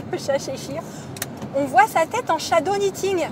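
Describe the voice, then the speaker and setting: A woman's voice amid noticeable background noise. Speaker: knitting podcaster. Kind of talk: casual podcast talk.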